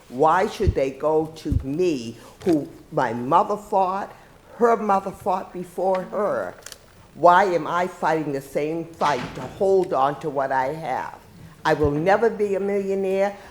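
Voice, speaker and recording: With a Boston accent, a woman talks at a very slow pace in a fairly low pitch with lively intonation, amid noticeable background noise and audible room echo. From Boston, Massachusetts. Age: 70s. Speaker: retired police officer testifying at hearing. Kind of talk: public testimony.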